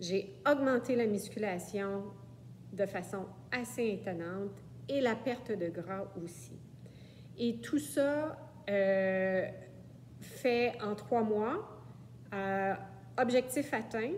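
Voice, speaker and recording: With a Quebec accent, a woman of medium pitch speaks very slowly, her pitch swinging very widely and long, frequent pauses breaking up her speech. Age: 60s. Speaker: client. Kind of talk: testimony. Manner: hesitant, many fillers.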